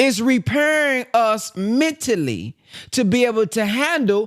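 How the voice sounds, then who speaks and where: Speaking with a Southern US accent, a man uses an extremely high pitch and lively intonation. He goes at a very slow pace, and the recording is very clean with a silent background. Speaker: motivational speaker. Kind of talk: book reading with commentary. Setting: conference call.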